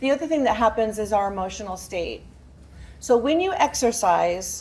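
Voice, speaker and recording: At a moderate pace, a woman speaks with lively intonation, vocal fry and a fairly high pitch. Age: 80s+. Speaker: fitness instructor. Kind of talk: presentation to live audience. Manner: animated.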